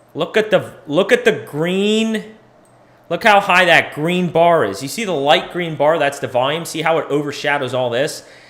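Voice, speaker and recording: An ordinary speaking voice comes from a man with an American accent, fairly high in pitch and moderate in pace. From US Northeast. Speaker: crypto market analyst, livestream host. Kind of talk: casual livestream chart analysis. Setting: live stream. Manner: casual, conversational with filler.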